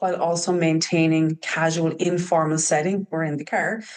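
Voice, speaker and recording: In an Irish accent, a woman talks at a moderate pace. Her pitch is fairly low. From Ireland. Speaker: trauma practitioner working with youth. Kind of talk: podcast interview. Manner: hesitant, many fillers.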